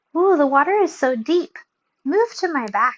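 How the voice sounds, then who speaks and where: At a moderate pace, someone uses a squeaky, put-on character voice. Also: woman, high pitch for a woman. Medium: read story. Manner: crooning, oily.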